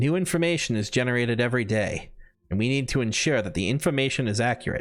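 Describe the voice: Text read aloud plainly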